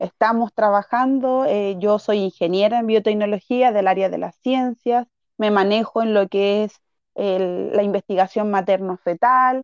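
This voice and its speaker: The voice is an unremarkable speaking voice, moving at a fairly slow pace with fairly even intonation. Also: woman, medium pitch for a woman. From Chile (Santiago), arrived at age three. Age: 30s. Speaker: political candidate and teacher. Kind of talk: interview.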